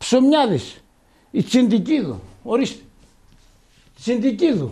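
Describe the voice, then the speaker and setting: Over a quiet background, a man talks at a fairly slow pace in an extremely high pitch, his tone dark and mellow and his pitch variation ordinary. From Greece. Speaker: village barber. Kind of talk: interview. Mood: emotional, defiant about shop. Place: shop. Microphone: handheld.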